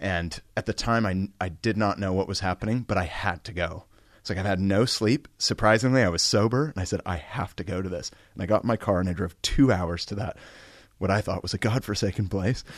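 A man talks at a fairly quick pace with ordinary pitch variation, and the background is quiet. It is a normal speaking voice. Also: fairly low pitch for a man. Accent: American. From US West Coast, San Francisco Bay Area. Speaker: pastor. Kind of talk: interview testimony.

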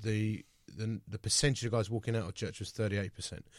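A man's fairly low voice with a British accent, on a very clean recording with a silent background. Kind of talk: radio interview. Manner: conversational.

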